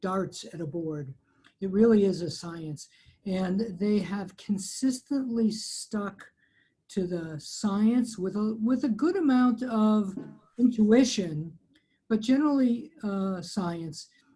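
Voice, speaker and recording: A woman with a dark, mellow, somewhat breathy tone and medium pitch talks at a very slow pace with lively intonation. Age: 60s. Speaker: physician on society finance committee. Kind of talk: webinar panel discussion.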